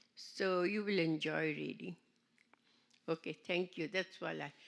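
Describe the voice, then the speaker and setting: The recording is very clean with a silent background. A woman speaks at a medium pitch with a bright, sharp tone, vocal fry and ordinary pitch variation. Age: 80s+. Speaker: seminar participant. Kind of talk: testimony.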